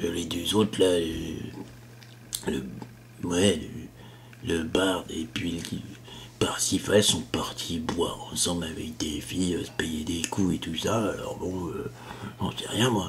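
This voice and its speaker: In a put-on character voice, a man speaks very deep and low at a fairly slow pace, with long, frequent pauses and light background noise. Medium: read story. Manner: gruff, hesitant, blunt.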